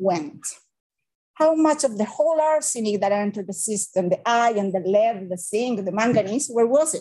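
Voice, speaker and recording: A woman speaks with a Spanish accent. Her pitch swings very widely. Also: quiet background. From Chile. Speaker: civil engineering professor; presenter. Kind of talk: academic seminar lecture. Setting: hybrid webinar with live audience. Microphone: webcam.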